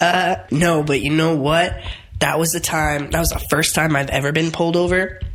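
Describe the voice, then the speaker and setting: Over noticeable background noise and audible room echo, a woman talks in a very deep, low pitch. Her loudness stays very even. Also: fairly even intonation, moderate pace. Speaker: podcast host. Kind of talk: casual chat.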